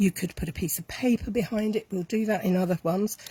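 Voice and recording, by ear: Her voice has a slightly mellow tone with a slightly husky edge.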